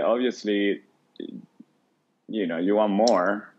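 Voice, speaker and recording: This man's speech carries a non-native accent. He talks at a fairly slow pace. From Venezuela. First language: Spanish. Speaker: food stand co-owner. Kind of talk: podcast interview answer.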